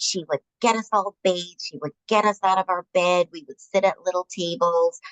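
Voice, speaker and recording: In an American accent, a woman speaks at medium pitch with a plain, everyday voice. The sound is dry and close, with no echo. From Upstate New York. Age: 60s. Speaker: nurse. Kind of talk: interview.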